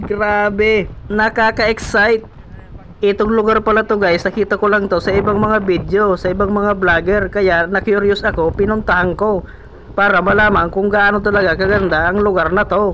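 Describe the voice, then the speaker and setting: Over noticeable background noise, a man with high pitch talks at a moderate pace and very even loudness. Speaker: travel vlogger. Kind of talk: vlog narration. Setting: outdoors. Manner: stumbling over words; animated.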